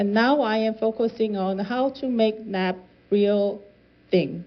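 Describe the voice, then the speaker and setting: With a Korean accent, a woman talks at a very slow pace in a medium pitch with ordinary pitch variation. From South Korea. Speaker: climate policy researcher. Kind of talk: lecture. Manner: halting, with self-corrections.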